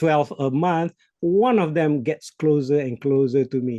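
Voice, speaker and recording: Spoken in a Malaysian accent, the voice has a dark, mellow tone, a moderate pace and ordinary pitch variation. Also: man. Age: 60s. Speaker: business coach. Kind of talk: podcast interview.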